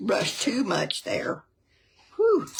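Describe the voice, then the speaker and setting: A woman with a Southern US accent. She speaks at a very slow pace. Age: 70s. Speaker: cooking show co-host, grandmother. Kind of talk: casual cooking show chat.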